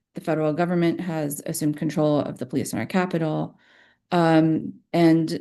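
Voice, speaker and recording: At a fairly quick pace, a woman speaks in a fairly low voice with a dark, mellow tone. Her intonation is fairly even, and the background is quiet. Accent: American. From Texas. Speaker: panelist, researcher. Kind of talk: prepared remarks at a virtual briefing.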